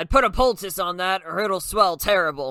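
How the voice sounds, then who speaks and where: A man puts on a high-pitched character voice, recorded very cleanly against a silent background. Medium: read story. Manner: blunt, plainspoken.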